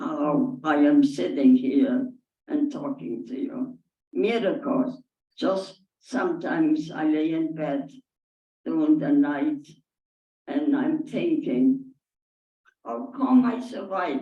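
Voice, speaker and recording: A woman with a fairly high pitch and a dark, mellow tone speaks at a very slow pace with vocal fry, very wide pitch swings and long, frequent pauses. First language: not English. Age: 80s+. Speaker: Holocaust survivor. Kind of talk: audience Q&A testimony. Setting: synagogue with audience. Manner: halting.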